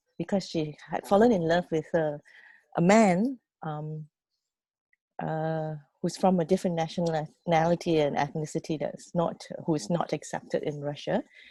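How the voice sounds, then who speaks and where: In a Fujianese accent, a woman talks at a fairly slow pace with a fairly low, dark, mellow voice and ordinary pitch variation, the sound dry and close with no echo. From Malaysia (Penang). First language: Hokkien. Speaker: youth programme mentor. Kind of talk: personal story sharing. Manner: halting.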